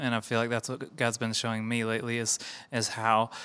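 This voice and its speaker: This very clean recording has a silent background. A man speaks at medium pitch in a bright, sharp, playful tone. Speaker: worship pastor. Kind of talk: casual chat. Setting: studio. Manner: joking, playful.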